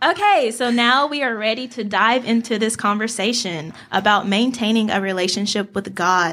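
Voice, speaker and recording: A woman speaks at a moderate pace with a fairly high pitch, a bright, sharp tone, ordinary pitch variation and hardly any pauses, in a very clean recording with a silent background. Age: 20s. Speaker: podcast co-host. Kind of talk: casual chat.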